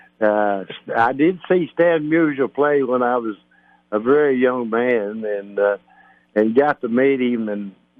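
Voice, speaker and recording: A man talks at a fairly slow pace in a Kentucky accent. His pitch is medium, with ordinary pitch variation. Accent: Kentucky southern. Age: 80s+. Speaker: retired baseball player. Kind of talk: interview storytelling. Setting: phone call. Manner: halting.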